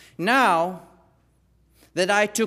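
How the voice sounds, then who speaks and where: With a non-native accent, a man speaks at a very slow pace in a high voice. The recording is very clean, with a silent background. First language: not English. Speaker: lay preacher. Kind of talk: sermon. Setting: church. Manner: halting.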